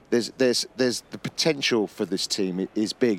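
An unremarkable speaking voice from a man, medium in pitch, with ordinary pitch variation, at a moderate pace. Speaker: football pundit. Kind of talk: sports analysis discussion.

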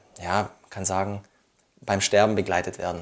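A man is speaking. His pitch is fairly low. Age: 20s. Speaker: widower sharing personal story. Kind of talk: personal testimony interview.

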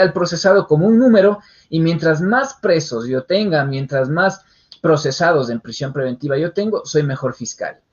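This man's voice is pitched high. He uses lively intonation. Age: young. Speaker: criminal lawyer. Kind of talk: interview on legal topic. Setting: online radio show.

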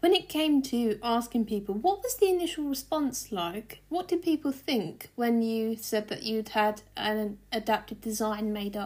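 An unremarkable speaking voice from a woman, fairly high in pitch with lively intonation, at a fairly slow pace with hardly any pauses. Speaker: podcast host and journalist. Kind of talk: podcast intro and interview.

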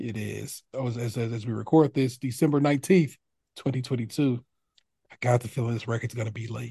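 The man's voice sits at a medium pitch with a dark, mellow tone, somewhat breathy, with fairly even intonation and big swings in loudness. He keeps a moderate pace, and the sound is dry and close with no echo. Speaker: podcast host. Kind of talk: casual banter. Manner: casual, slangy.

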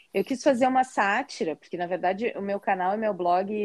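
A woman's fairly high voice with ordinary pitch variation and a southern Brazilian accent, dry and close with no echo, over a quiet background. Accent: gaúcho Brazilian Portuguese. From southern Brazil, Porto Alegre. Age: 40s. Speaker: teacher and content creator, visually impaired. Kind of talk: interview.

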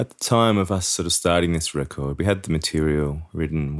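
This man has an Australian accent and a very deep, low pitch. His pitch varies in an ordinary way. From Sydney, Australia. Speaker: musician and bandleader. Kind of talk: interview. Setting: at home.

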